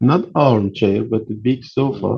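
Speaking at a very slow pace, a man with an Iranian accent sounds somewhat breathy. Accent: Persian, non-native English. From Iran, Tehran. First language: Persian. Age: 40s. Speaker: percussionist. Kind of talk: interview. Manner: halting.

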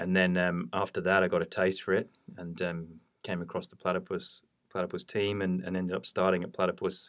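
A man with a British accent speaks in a very deep, low voice at a fairly quick pace, his intonation flat and monotone. The recording is very clean, with a silent background. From United Kingdom. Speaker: quantitative investment head. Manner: hesitant, filler-heavy.

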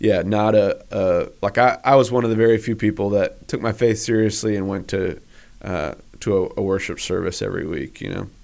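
The speaker has a normal speaking voice with an American accent and ordinary pitch variation, at a moderate pace. The recording is very clean, with a silent background. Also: man, fairly low pitch for a man. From US Northeast (western Massachusetts). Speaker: pastor and church planter. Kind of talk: casual interview chat.

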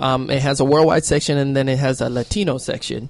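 A man with a fairly high pitch and fairly even intonation speaks in an unremarkable speaking voice. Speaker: panelist. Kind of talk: casual group chat.

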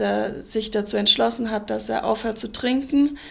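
A woman with an ordinary speaking voice talks at a moderate pace, her fairly high pitch carried with fairly even intonation. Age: 20s. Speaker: ice hockey player and social work student. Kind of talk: interview.

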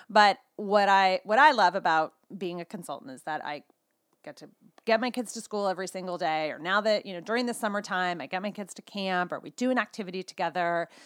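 Here a woman talks with a West Coast US accent, ordinary pitch variation, and big swings in loudness. The recording is very clean with a silent background and a dry, close sound with no echo. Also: medium pitch for a woman. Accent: General American (West Coast). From California. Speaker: skincare sales consultant and mom. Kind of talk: casual interview chat.

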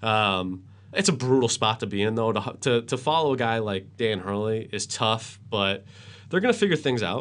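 A man speaks at a moderate pace with a medium pitch and an American accent, in a plain, everyday voice. His pitch varies in an ordinary way against a quiet background. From Worcester, Massachusetts. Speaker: sports anchor and radio host. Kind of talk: casual sports interview.

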